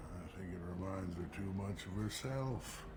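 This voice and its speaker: Putting on a character voice, a man with a very deep, low pitch speaks at a moderate pace over loud background noise. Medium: machinima. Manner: gruff, proud.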